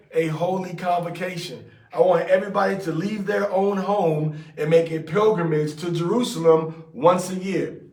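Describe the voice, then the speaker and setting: A man's high-pitched voice with fairly even intonation, audible room echo and noticeable background noise. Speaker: religious teacher. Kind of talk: scripture study with commentary. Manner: fast; casual, conversational.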